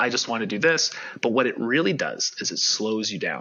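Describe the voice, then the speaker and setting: Moderate tempo and lively intonation from a man. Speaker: life coach. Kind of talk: podcast interview. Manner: loud.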